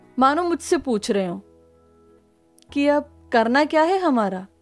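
Against music in the background, a woman speaks at a high pitch with lively intonation. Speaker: spoken word poet. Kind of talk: spoken word poetry.

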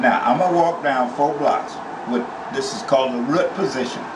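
There is noticeable noise in the background. Through it, a man talks at a moderate speed. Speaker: piano teacher. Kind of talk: casual piano lesson. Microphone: phone near.

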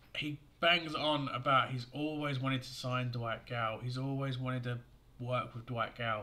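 A man speaks loudly at a moderate pace, his bright, sharp tone held to fairly even intonation. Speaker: football fan YouTuber. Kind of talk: angry rant; fan video commentary. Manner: angry, venting; forceful, loud, sweary. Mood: angry, frustrated. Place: home room. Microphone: webcam.

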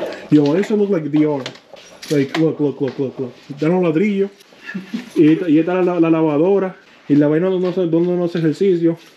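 Over noticeable background noise, a man with a high pitch speaks at a fairly slow pace with long, frequent pauses. His intonation is fairly even. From New Jersey (Paterson). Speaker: car vlogger. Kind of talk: casual vlog chat. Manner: casual, repetitive and halting.

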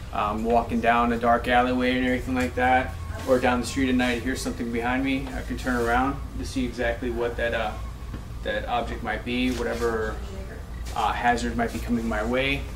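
A man speaks at a fairly quick pace. Noticeable background noise is present. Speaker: firearms instructor trainee. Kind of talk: practice presentation. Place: classroom. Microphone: camera far.

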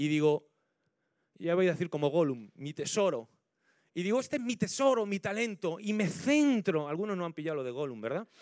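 Recorded very cleanly with a silent background, a man speaks in a high voice with very wide pitch swings. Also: fairly quick pace. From Spain, La Mancha (Ciudad Real). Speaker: pastor. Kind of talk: sermon. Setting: church.

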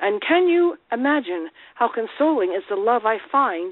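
A woman with an ordinary speaking voice talks at a fairly high pitch with lively intonation. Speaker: caller. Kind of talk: reading devotional messages aloud. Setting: phone call.

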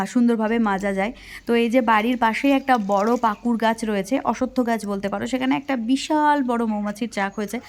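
A woman's fairly high voice, a plain, everyday voice, with fairly even intonation. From West Bengal, India. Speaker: village life vlogger. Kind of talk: vlog narration.

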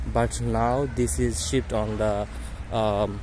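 The sound is dry with no echo. Noticeable background noise runs underneath. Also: man. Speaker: campus tour narrator. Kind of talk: casual vlog chat. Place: street. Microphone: phone near.

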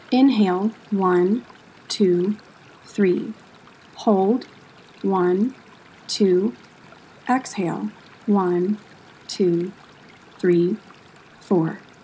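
Amid noticeable background noise, a woman with a medium pitch speaks at a very slow pace in a soothing, calm tone, with ordinary pitch variation, very even loudness and long, frequent pauses. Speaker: yoga instructor and museum educator. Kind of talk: guided meditation. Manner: slow, soft and soothing, with long calm pauses between cues; gentle, even and unhurried, hushed.

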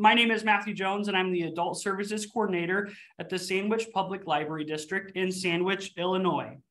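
A man's raised, projected voice, bright and sharp in tone, with fairly even intonation. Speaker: library event host. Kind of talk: webinar host introduction. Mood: cheerful, welcoming. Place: office. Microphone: video call.

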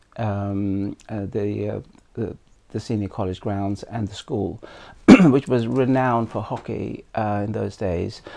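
In a dark, mellow tone, a man talks at a fairly slow pace with fairly low pitch and fairly even intonation. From India. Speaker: former Olympic hockey player. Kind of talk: oral history interview answer.

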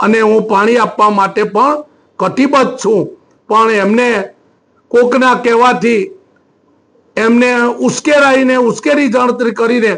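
A man's extremely high-pitched voice moves with ordinary pitch variation. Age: 60s. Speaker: politician. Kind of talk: press statement. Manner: halting.

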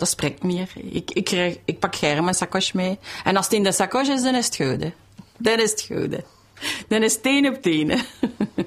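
Lively intonation marks this moderately paced voice. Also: woman, medium pitch for a woman. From Brussels. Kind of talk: interview answer. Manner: enthusiastic.

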